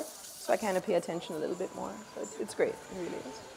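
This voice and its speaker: Very fast and at a medium pitch, a woman speaks over noticeable background noise. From Jamaica. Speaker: chef. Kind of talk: interview.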